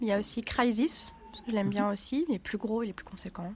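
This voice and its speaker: A woman at a fairly high pitch, fairly quick pace, and noticeable background noise. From Villefranche-sur-Saône, France. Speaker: board game club member. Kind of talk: interview. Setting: board game event.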